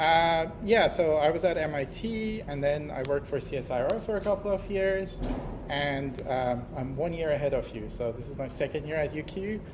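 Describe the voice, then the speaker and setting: Moderately paced speech with ordinary pitch variation, audible room echo and noticeable background noise. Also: man, fairly high pitch for a man. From Iran. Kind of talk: self-introduction in lecture. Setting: lecture hall.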